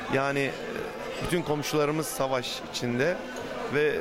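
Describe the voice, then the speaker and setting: Clear music plays in the background. Over it, a man talks with ordinary pitch variation. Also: dry sound with no echo. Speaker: guest. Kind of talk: interview answer. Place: cafe. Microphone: handheld.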